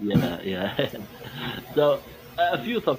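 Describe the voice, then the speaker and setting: A man with a Middle Eastern accent at a moderate pace, with noticeable background noise. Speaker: caller. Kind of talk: call-in chat. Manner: halting.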